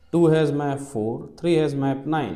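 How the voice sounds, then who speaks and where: A man with an Indian accent talks at a fairly slow pace. Audible room echo surrounds his voice. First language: Hindi. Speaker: maths teacher. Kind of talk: lecture. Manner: slow and methodical.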